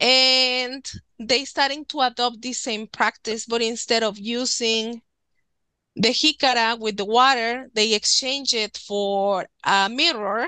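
Speaking very slowly in a Spanish accent, a woman has a fairly high pitch, a bright, sharp tone and fairly even intonation. The sound is dry and close with no echo, over a quiet background. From Mexico, Nuevo León. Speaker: author and witchcraft practitioner. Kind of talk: casual interview.

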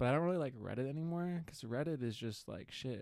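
Soft-spoken, a man talks at a moderate pace with ordinary pitch variation. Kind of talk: casual chat.

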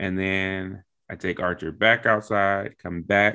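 Speaking at a fairly slow pace, a man has a fairly low pitch and an unremarkable speaking voice. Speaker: podcast host; military member. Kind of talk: casual interview chat.

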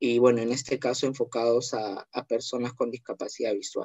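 A man's medium-pitched voice moves at a moderate pace in a monotone, flat intonation. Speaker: tourism graduate, accessibility researcher. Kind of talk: online panel discussion.

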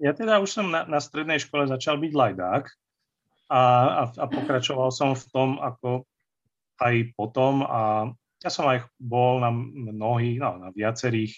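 A man with a normal speaking voice talks at a medium pitch and a fairly slow pace. His pitch variation is ordinary, and the background is quiet. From central Slovakia, Banská Štiavnica area. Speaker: fantasy and historical novelist. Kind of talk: casual interview, nostalgic storytelling.

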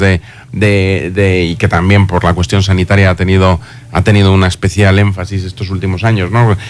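Speaking at a moderate pace, a man has a normal speaking voice with fairly low pitch. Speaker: university institute director. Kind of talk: radio interview. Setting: radio studio.

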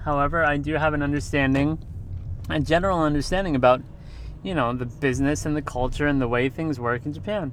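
With audible room echo, a man talks very fast in a fairly high voice, his pitch varying in an ordinary way. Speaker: podcast host, English teacher in Japan. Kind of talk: casual monologue. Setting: in a car. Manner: halting, many fillers.

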